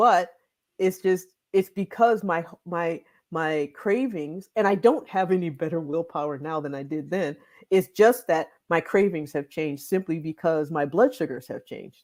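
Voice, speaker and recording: With an American accent, a woman with fairly low pitch talks at a moderate pace in a normal speaking voice, with ordinary pitch variation, big swings in loudness, and a very clean recording over a silent background. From Michigan. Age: 50s. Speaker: weight loss doctor. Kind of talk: interview. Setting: livestream.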